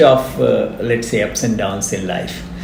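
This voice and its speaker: Noticeable background noise and audible room echo mark the clip. A man speaks at a moderate pace with ordinary pitch variation. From India, grew up in Pilani, Rajasthan. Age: 60s. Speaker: retired engineering professor. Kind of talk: interview. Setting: podcast recording.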